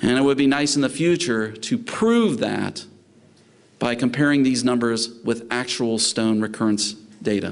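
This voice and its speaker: A man with a Southern US accent at a moderate pace, very even in loudness, with audible room echo. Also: medium pitch for a man, ordinary pitch variation. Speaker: veterinary specialist lecturer. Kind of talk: lecture. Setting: conference talk with live interpreters.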